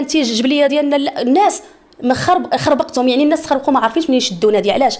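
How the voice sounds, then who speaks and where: Over noticeable background noise, a woman talks very fast in a high, animated voice. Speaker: singer. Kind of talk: interview.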